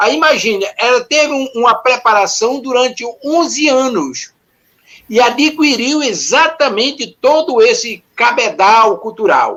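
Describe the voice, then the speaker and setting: Speaking at a fairly slow pace, a man with an extremely high pitch shows ordinary pitch variation. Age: 70s. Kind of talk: panel discussion.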